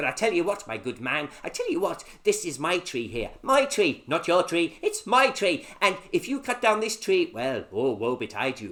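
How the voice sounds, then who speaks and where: In a put-on character voice, a man speaks at a high pitch and moderate pace with hardly any pauses. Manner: attempted, wavering pitch.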